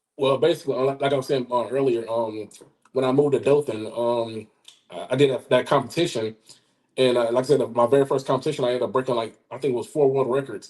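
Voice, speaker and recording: Talking at a very fast pace with an Alabama accent, a man keeps a medium pitch and fairly even intonation. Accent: Southern US (Alabama). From US South, southeast Alabama. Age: 40s. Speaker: powerlifter and firearms instructor. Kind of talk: interview. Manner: halting, many fillers and repetitions.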